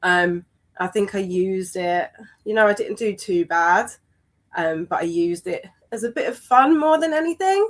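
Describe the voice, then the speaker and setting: A woman in a London accent, moderate pace, very wide pitch swings. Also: medium pitch for a woman. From East London. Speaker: amateur runner in recovery. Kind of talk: interview. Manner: hesitant, many fillers.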